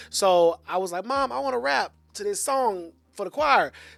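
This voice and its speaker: Man with an American accent at a moderate pace, on a very clean recording with a silent background. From US South, south side of Atlanta, Georgia. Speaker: media host and nonprofit professional. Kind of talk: casual interview. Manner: animated.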